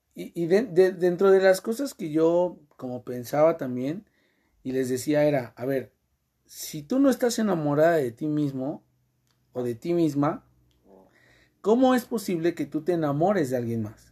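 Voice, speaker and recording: A man with a Mexican accent speaks at a fairly slow pace with long, frequent pauses, his fairly high pitch making very wide swings. His tone is dark and mellow, and the recording is very clean with a silent background. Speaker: podcast host. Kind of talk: casual chat.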